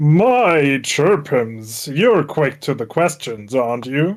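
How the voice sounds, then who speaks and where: Using a put-on character voice, a man speaks at a very slow pace and a fairly high pitch in a very clean recording with a silent background. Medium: role play.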